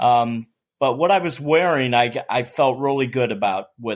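A man talks in a normal speaking voice with an American accent. His medium pitch has ordinary pitch variation, and his pace is fairly slow. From Staten Island, New York. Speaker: retiree and aspiring long-distance hiker. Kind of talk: casual chat.

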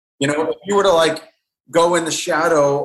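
A man speaks in an ordinary speaking voice, with ordinary pitch variation. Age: 40s. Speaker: painter and art teacher. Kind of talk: interview conversation.

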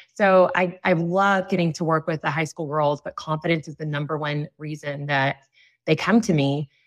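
A woman speaks at a moderate pace in a very deep, low pitch with fairly even intonation, her voice dry and close with no echo against a quiet background. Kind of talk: casual interview conversation. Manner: speaks loudly.

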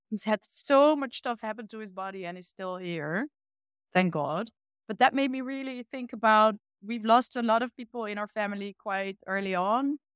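On a very clean recording with a silent background and a dry, close sound with no echo, a woman with a Dutch accent speaks at a fairly high pitch and a moderate pace. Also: ordinary pitch variation, big swings in loudness. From eastern Netherlands. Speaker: illustrator and art teacher. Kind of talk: casual interview conversation.

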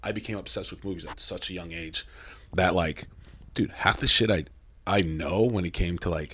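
A man's animated voice with an American accent and ordinary pitch variation, in a very clean recording with a silent background. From Mexico, raised in US. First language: Spanish. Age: 30s. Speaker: metal band musician. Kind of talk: casual interview. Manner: animated, profane.

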